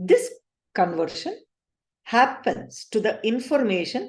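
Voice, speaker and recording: A woman's fairly high voice at a very slow pace. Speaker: spiritual teacher. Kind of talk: lecture.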